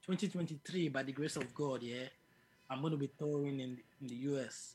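Fairly high-pitched and somewhat breathy, a man speaks at a moderate pace with fairly even intonation and long, frequent pauses. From Nigeria, Lagos. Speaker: musician. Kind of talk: interview.

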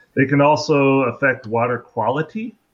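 This is a normal speaking voice from a man. His pitch is medium, with ordinary pitch variation. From US Pacific Northwest, Seattle. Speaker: crayfish researcher. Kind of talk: interview, educational explanation.

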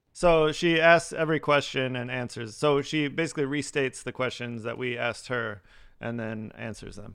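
An unremarkable speaking voice at a moderate pace, with ordinary pitch variation and big swings in loudness. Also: man, medium pitch for a man. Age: 40s. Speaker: podcast co-host. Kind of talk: casual chat.

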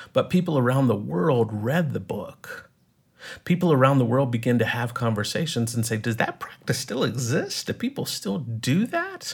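An American-accented man speaks at a moderate pace. His voice is somewhat breathy, with lively intonation. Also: medium pitch for a man. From East Texas. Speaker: writer and film teacher. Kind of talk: interview conversation.

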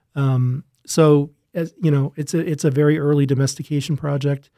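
A man's fairly high, dark and mellow voice with an Upper Midwest accent, flat and monotone, in a dry, close sound with no echo. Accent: Upper Midwest American. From Minnesota (Rochester). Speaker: plant breeder professor. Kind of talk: podcast interview.

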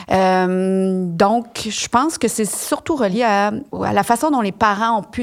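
A woman with a Quebec accent speaks at a medium pitch. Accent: Québécois French. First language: French. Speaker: expert on gamete donation. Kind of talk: interview.

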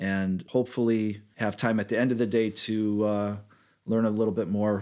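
A man with an American accent at a fairly low pitch and a moderate pace, in a monotone, flat intonation with very even loudness, on a very clean recording with a silent background. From Michigan, Detroit area. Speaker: nursing home administrator. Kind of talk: interview.

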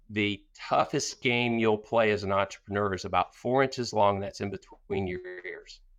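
A man with an unremarkable speaking voice talks at a moderate pace with hardly any pauses, his fairly low pitch carrying fairly even intonation. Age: 50s. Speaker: business owner and author. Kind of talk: interview.

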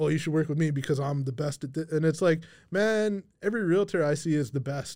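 With a Canadian accent and an unremarkable speaking voice, a man talks at a fairly quick pace and fairly high pitch on a very clean recording with a silent background. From Kamloops, Canada. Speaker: podcast host and realtor. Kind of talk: casual chat interview. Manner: casual, joking.

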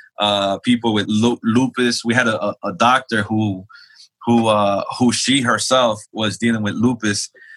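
In an American accent, a man with an unremarkable speaking voice talks at a medium pitch with fairly even intonation, in a dry, close sound with no echo. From New York (Queens). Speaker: pastor. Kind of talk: testimony.

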